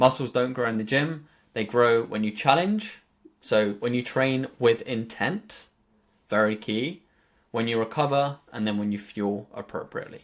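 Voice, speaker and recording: A man's medium-pitched voice with a southern English accent, moderate pace and ordinary pitch variation. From southern England. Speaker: fitness coach. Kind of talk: group coaching call talk. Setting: group video call.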